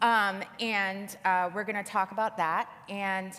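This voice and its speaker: A woman is speaking. Her voice has a medium pitch. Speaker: government attorney presenter. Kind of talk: conference presentation. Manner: fast.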